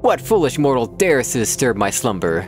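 A booming, put-on character voice from a man at medium pitch, with clear music in the background. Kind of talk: archaic, grand. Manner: imperious, indignant.

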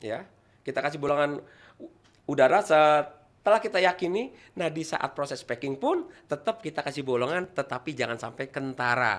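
A man speaks at a moderate pace with fairly high pitch. His intonation is lively. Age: 50s. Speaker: toll road employee and ornamental plant seller; guest, plant seller. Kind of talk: online talk with plant-care tutorial. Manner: halting, with frequent fillers. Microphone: studio mic.

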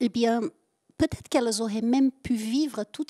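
Against a quiet background, a woman with a high voice speaks at a fairly quick pace. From southern France. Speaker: guest. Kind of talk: interview answer. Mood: calm, reflective. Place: stage. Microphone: handheld.

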